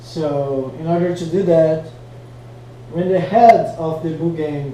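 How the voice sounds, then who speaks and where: Speaking at a fairly slow pace with a non-native accent, a man's fairly high voice carries audible room echo over noticeable background noise. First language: not English. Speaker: flow arts hobbyist teaching tricks. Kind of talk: tutorial. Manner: casual, hesitant with fillers. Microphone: poor quality mic.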